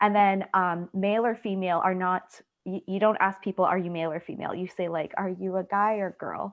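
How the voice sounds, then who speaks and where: At a fairly quick pace, a woman with a slight Trinidadian accent talks in a monotone, flat intonation. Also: medium pitch for a woman. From Canada, Trinidadian family. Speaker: student researcher. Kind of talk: Q&A discussion.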